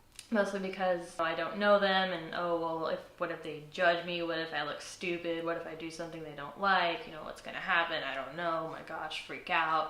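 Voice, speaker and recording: A woman speaks with a fairly low pitch and a monotone, flat intonation, barely pausing while her loudness swings widely. Noticeable background noise and audible room echo fill the recording. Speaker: college student. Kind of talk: interview testimony. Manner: halting.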